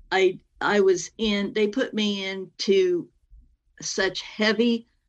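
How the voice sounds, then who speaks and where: A woman's voice comes through while music plays behind it. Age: 60s. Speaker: near-death experiencer and author. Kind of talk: interview testimony. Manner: halting, with many fillers.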